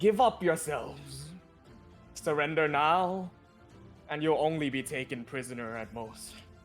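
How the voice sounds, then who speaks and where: Over clear background music, a booming put-on character voice moves at a moderate pace with lively intonation and long, frequent pauses. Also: man, fairly high pitch for a man. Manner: booming, commanding.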